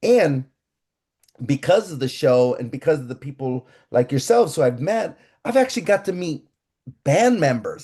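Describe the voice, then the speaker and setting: Speaking at a moderate pace with long, frequent pauses, a man with a fairly high pitch and a dark, mellow, somewhat breathy tone makes very wide pitch swings and big swings in loudness. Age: 60s. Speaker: ska radio DJ. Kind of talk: casual interview chat.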